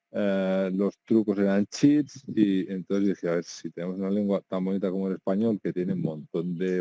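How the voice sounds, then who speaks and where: A man with a very deep, low voice and a dark, mellow tone speaks at a moderate pace in a Catalan accent, his intonation fairly even, the sound dry and close with no echo. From Catalonia. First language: Catalan (speaking Spanish). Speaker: video game journalist, website founder. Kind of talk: interview. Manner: hesitant with fillers and repetitions.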